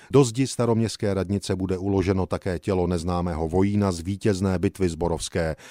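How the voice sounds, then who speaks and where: Very deep, low male voice with a dark, mellow tone, a fairly quick pace and hardly any pauses, on a very clean recording with a silent background. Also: dry, close sound with no echo. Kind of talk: newsreel-style historical narration. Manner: solemn, formal, stately.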